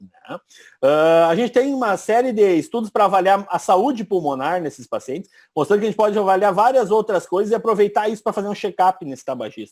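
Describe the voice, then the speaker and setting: On a very clean recording with a silent background, a man talks at a fairly quick pace. His high-pitched voice has lively intonation and big swings in loudness. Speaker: radiologist. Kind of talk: lecture. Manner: fast.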